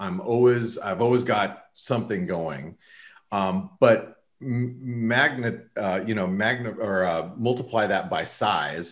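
A man with an American accent, speaking at a very slow pace against a quiet background. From US Southwest. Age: 40s. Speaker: trader; guest. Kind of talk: casual chat. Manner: halting. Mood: relaxed, reflective. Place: home room. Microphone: webcam.

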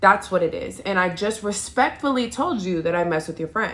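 A woman's bright, sharp tone rises and falls with lively intonation. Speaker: makeup vlogger. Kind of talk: casual storytime chat. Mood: animated, mildly irritated retelling. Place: home room. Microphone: phone near.

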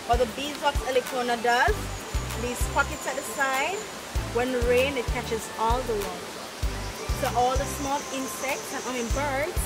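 A woman speaks at a moderate pace with ordinary pitch variation. Music plays clearly in the background. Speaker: park tour guide. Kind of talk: guided tour explanation. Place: garden.

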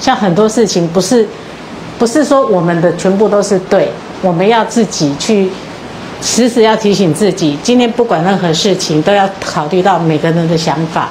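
Over light background noise, a woman speaks at a moderate pace with very even loudness and ordinary pitch variation. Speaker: student group reporter. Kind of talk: group sharing. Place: hall. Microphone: handheld.

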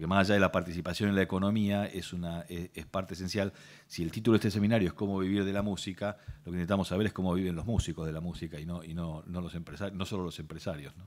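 Very fast and very deep, a man's low voice keeps a fairly even intonation. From Argentina. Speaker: lawyer, intellectual property specialist, speaker; speaker, lawyer. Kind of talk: workshop talk. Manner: hesitant, repeats words. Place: hall. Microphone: podium.

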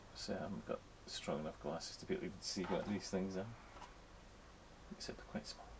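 Whispering and mumbling, a man talks at a fairly quick pace. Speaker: scale model hobbyist. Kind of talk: casual unboxing commentary. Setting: poor home recording. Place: workshop.

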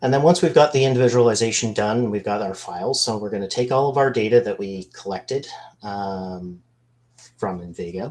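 Ordinary pitch variation carries speech delivered at a fairly quick clip. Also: man. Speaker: business analyst; webinar presenter. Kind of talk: webinar product demo. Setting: video call. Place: home room. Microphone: video call.

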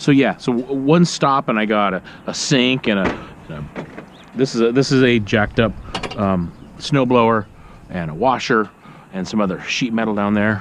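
A man at a moderate pace, with long, frequent pauses and ordinary pitch variation, in a dry sound with no echo and light background noise. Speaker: scrap collector vlogger. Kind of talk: casual vlog chat. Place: street. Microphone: phone near.

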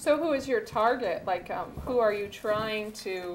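A woman talks at a fairly slow pace in a normal speaking voice, pitched fairly high with ordinary variation. Light background noise is present. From US Northwest (Montana reservation). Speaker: cooking show host. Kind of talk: cooking demonstration. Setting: studio kitchen. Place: kitchen.

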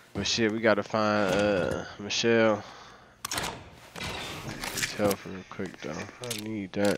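A man's fairly low voice at a very slow pace, over noticeable background noise. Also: big swings in loudness. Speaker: gaming streamer. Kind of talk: live gameplay commentary. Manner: animated.

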